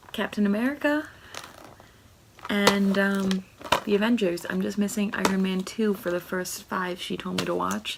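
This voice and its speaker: Quiet and medium-pitched, a woman speaks at a moderate pace with ordinary pitch variation and long, frequent pauses, against noticeable background noise. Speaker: booktuber. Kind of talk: casual vlog book haul. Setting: at home. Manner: talking quietly.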